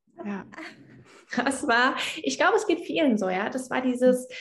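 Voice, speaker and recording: A woman's plain, everyday voice with lively intonation at a moderate pace. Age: 20s. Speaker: yoga teacher. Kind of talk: casual interview.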